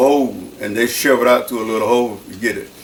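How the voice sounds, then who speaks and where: At a very fast pace, a man speaks at a medium pitch through noticeable background noise and audible room echo. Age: 80s+. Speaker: church deacon. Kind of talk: oral history interview.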